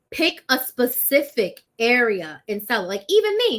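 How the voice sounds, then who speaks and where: A woman's voice, fairly high in pitch. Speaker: business coach. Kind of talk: live stream business advice. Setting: live stream. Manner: fast.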